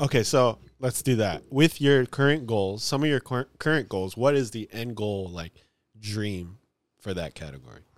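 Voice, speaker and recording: At a moderate pace, a man with a medium pitch speaks with lively intonation and big swings in loudness, in a dry, close recording that is very clean with a silent background. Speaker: podcast co-host. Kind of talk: casual chat. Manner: quiet.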